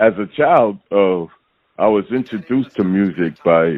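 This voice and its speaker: With ordinary pitch variation, a man talks rather slowly. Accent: New York. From New York, Harlem. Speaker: rapper. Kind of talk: interview.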